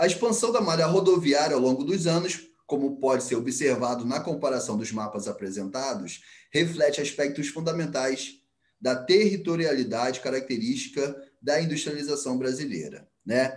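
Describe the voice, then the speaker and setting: Audible room echo surrounds a man speaking at a fairly high pitch. His intonation is lively and his pace is moderate. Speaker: geography teacher. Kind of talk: online class lecture.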